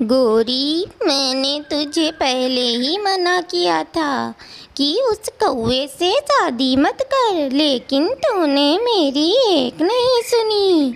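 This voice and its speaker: A female-sounding cartoonish character voice, high-pitched, speaks very slowly with hardly any pauses. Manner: forceful, sharp.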